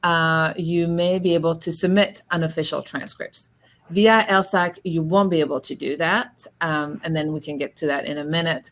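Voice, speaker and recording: A woman with a French accent speaks at a moderate pace and a fairly low pitch, her intonation fairly even. The recording is very clean, with a silent background. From France. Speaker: law school admissions representative. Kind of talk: panel discussion. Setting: virtual event. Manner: hesitant, many fillers.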